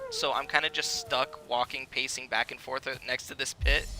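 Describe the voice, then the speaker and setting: Music can be heard in the background. A man talks at a moderate pace. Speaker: video game streamer. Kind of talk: live gameplay stream chat. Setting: live stream. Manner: soft-spoken; hesitant, filler-heavy.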